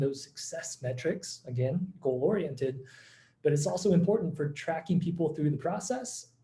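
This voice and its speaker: Moderately paced male speech, fairly high and somewhat breathy, dark and mellow in tone, with pitch varying in an ordinary way. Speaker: company founder presenting a webinar. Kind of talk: webinar presentation. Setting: online video call.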